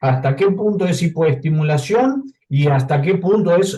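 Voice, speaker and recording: Audible room echo surrounds a man's somewhat breathy voice. His intonation is lively. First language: not Spanish (speaking Spanish). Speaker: audience member asking a question. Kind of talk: question at a clinical case conference. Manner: halting.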